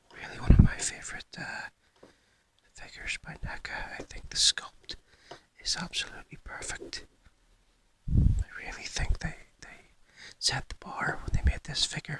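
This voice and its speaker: A whispering voice moves at a moderate pace, with long, frequent pauses. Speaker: toy collector YouTuber. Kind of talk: whispered ASMR show-and-tell. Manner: halting with fillers.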